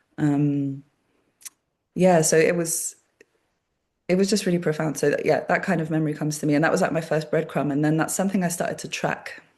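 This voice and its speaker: Speaking fairly quickly yet with long, frequent pauses, a woman with a very deep, low voice keeps her intonation fairly even against a quiet background. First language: Polish. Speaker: body worker and workshop facilitator. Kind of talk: casual conversation. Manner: hesitant, many fillers.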